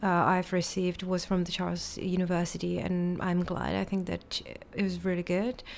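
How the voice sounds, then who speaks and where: With a Czech accent, a woman speaks at a moderate pace. Her pitch sits at a medium level. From Czech Republic. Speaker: literature lecturer and school director. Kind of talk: interview.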